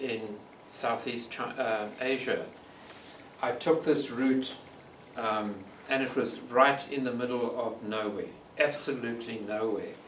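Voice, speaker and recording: A man with a South African accent at a medium pitch, fairly slow and fairly even in intonation, with long, frequent pauses and noticeable background noise. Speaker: long-distance bike touring nomad. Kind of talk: storytelling talk to audience. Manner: thoughtful.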